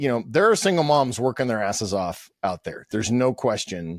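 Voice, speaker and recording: With an American accent, a man speaks with very wide pitch swings in a dry, close sound with no echo on a very clean recording with a silent background. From Pittsburgh, US. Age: 50s. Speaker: podcast host. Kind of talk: interview conversation. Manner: loud.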